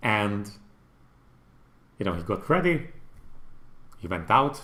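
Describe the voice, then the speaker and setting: A man with a Hungarian accent speaks at a fairly slow pace and a fairly low pitch, in a bright, sharp tone. His pitch swings are very wide, and audible room echo surrounds the voice. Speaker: gaming YouTuber. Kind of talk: livestream commentary. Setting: livestream. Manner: casual, halting.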